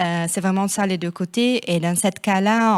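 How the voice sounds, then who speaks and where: A woman with a non-native accent speaks at a moderate pace and a medium pitch, her intonation fairly even, in a dry, close recording with no echo that is very clean against a silent background. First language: not French (speaking French). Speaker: city network representative. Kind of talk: panel discussion. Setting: stage with audience. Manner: hesitant.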